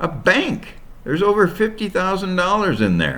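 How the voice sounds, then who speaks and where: A man puts on a character voice, pitched high. He keeps a moderate pace. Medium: read story. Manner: mopey, dejected.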